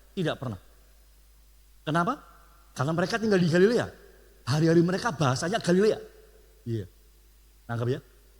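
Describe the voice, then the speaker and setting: A man with a high pitch talks at a very fast pace with lively intonation. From Surabaya, East Java, Indonesia. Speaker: pastor. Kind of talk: sermon.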